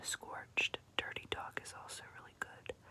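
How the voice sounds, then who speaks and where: Against noticeable background noise, the words are whispered at a very slow pace. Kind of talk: ASMR makeup collection show-and-tell.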